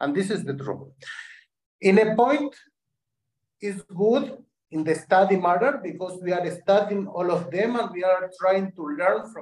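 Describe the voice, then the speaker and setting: A man with a Spanish accent talks at a fairly slow pace and a high pitch, with ordinary pitch variation and long, frequent pauses. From Argentina, Syrian family. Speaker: dance teacher. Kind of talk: interview.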